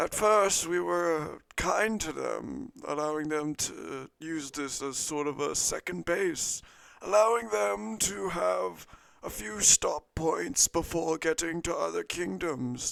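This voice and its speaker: Putting on a character voice, the man delivers his words fairly slowly. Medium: actual play. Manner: slow, storytelling.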